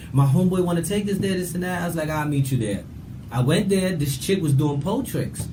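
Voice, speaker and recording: A man with a New York accent and lively intonation, over noticeable background noise and audible room echo. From New York, Brooklyn (Bushwick). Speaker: show guest. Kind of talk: casual chat. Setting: studio. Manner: loud.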